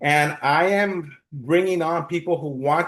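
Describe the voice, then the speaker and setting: A man speaks in a plain, everyday voice, his pitch fairly high with ordinary variation. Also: quiet background. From US, East Los Angeles. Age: 60s. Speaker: financial planner. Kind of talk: interview.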